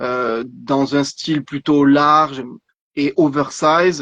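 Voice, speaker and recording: This man speaks fairly high with a slight southern French accent and fairly even intonation. His voice sounds dry and close, with no echo. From southern France, Vaucluse countryside. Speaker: clothing brand founder, entrepreneur. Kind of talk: interview on live stream. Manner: halting, many repetitions.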